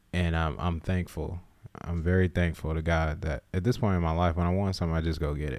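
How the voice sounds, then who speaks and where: Ordinary pitch variation at a moderate pace, on a very clean recording with a silent background. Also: man. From US South, South Carolina. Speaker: podcast co-host. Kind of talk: casual chat.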